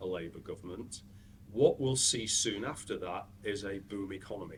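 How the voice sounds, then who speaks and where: A speaker with a British accent and ordinary pitch variation. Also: man. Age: 70s. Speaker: dental business consultant. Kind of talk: interview.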